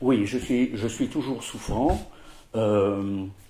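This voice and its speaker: Very slow and somewhat breathy, a man's dark, mellow voice sits at medium pitch with ordinary pitch variation. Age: 60s. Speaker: president of a patient association for OCD. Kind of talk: interview testimony. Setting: at his home. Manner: halting, many hesitations.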